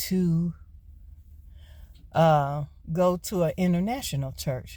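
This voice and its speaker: A woman with an American accent has a fairly low pitch and a dark, mellow, somewhat breathy tone. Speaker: vlogger and gig worker. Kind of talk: casual vlog monologue. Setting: in a car.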